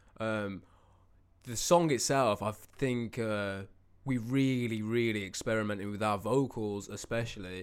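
A plain, everyday voice with ordinary pitch variation, captured in a very clean recording against a silent background. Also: man, fairly low pitch for a man. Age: 20s. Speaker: musician and podcast co-host. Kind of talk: casual chat.

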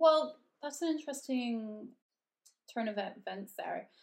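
A woman with a western Canadian accent at a moderate pace, in a very clean recording with a silent background. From Canada, Red Deer, Alberta. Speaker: yoga teacher and podcast co-host. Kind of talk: casual chat.

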